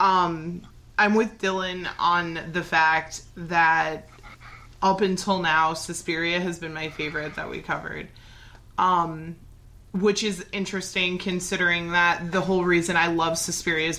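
At a moderate pace, a woman with a fairly low pitch talks in a monotone, flat intonation. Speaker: podcast host. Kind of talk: casual chat.

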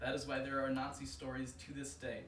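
Over noticeable background noise, a man speaks at a moderate pace in a medium pitch. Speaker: co-host and reader of a folk tale. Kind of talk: casual banter hosting, then reading a story aloud. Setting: live show with audience.

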